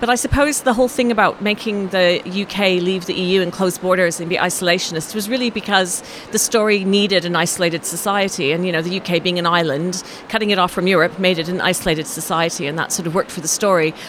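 Delivered at a very fast pace with hardly any pauses and ordinary pitch variation, the speech comes over noticeable background noise. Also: woman, medium pitch for a woman. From Canada. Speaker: novelist. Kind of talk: interview. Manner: hesitant, many fillers.

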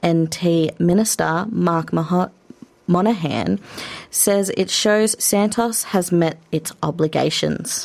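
In an Australian accent, the speaker talks at a very slow pace with fairly even intonation and very even loudness. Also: woman, fairly low pitch for a woman. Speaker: radio host. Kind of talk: news reading. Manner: formal.

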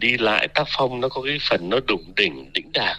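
An ordinary speaking voice from a man, medium-pitched, with ordinary pitch variation and a moderate pace. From Vietnam. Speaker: university researcher. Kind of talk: radio interview.

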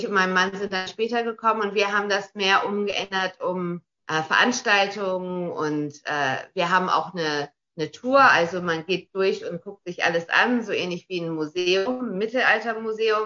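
Her pitch medium and varying in an ordinary way, a woman speaks at a moderate pace. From Australia. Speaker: castle owner and tourism business operator. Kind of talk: radio interview. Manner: halting, many repeated words.

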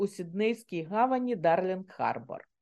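At a fairly slow pace, a woman with a medium pitch and a dark, mellow tone speaks with lively intonation. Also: quiet background. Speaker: author, retired banker. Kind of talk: radio interview.

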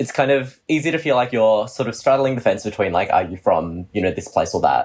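Barely pausing, a man with an Australian accent talks with lively intonation. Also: medium pitch for a man, fairly quick pace. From Australia (Melbourne), born in China. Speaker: podcast co-host. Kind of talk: casual podcast chat. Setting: remote recording.

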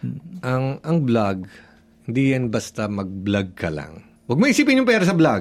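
At a moderate pace, a man talks in a medium pitch. His pitch swings very widely. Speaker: social media content creator. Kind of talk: radio interview.

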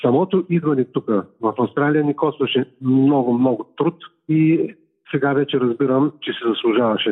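Using a normal speaking voice, a man talks at a moderate pace with very even loudness. His pitch is fairly high, with ordinary pitch variation. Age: 60s. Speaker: heart transplant recipient athlete. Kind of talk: phone interview.

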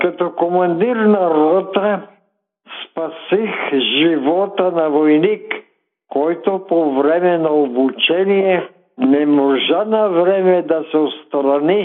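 A man's high-pitched voice, very slow in pace, with ordinary pitch variation. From Bulgaria, northwest (Belogradchik area). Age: 90s. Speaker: retired mining engineer and war veteran. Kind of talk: interview.

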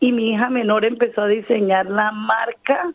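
A woman's fairly high voice with a Colombian coastal accent. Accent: Colombian coastal (costeño). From Colombia, Caribbean coast (Cartagena). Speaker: cook and small business owner. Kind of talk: interview. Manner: laughs often.

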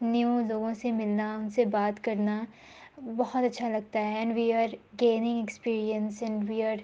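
A woman with a fairly high pitch. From Pakistan. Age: young. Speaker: film student. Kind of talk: interview.

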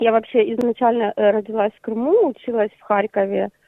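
A woman with an ordinary speaking voice, fairly high-pitched, with ordinary pitch variation. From Ukraine, Crimea. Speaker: art therapy project founder. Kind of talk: interview.

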